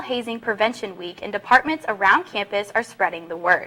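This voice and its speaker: A woman's fairly quick speech with an American accent over noticeable background noise. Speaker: sports and news reporter, broadcast journalism student. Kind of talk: news anchor read.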